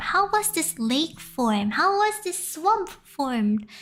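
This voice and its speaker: Speaking in an Indonesian accent, a woman uses a high pitch with very wide pitch swings at a fairly slow pace while music plays in the background. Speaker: VTuber streamer. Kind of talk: casual live stream storytelling. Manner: halting, frequent restarts.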